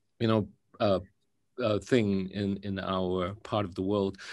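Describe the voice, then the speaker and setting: A man with a Singaporean accent, fairly low in pitch, at a fairly slow pace with fairly even intonation, over a quiet background. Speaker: actor moderating a film Q&A. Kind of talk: panel interview. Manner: halting, many fillers.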